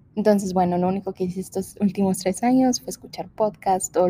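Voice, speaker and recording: A woman's somewhat breathy voice, dark and mellow in tone, stays at a medium pitch with monotone, flat intonation and a moderate pace. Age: 20s. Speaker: podcast host. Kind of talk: casual monologue. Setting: large empty room.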